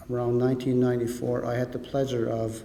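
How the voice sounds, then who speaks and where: A man speaks at a medium pitch. Noticeable background noise accompanies him. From Maliseet First Nation, New Brunswick, Canada. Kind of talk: public speech, storytelling.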